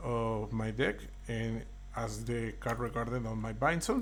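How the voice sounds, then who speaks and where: Speaking at a moderate pace, this man has a non-native accent. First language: not English. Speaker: card game content creator. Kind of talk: tutorial. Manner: halting.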